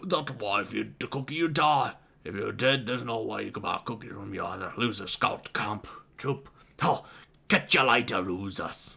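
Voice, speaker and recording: In a raspy, put-on character voice, a man speaks at a medium pitch and a moderate pace. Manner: mocking, taunting.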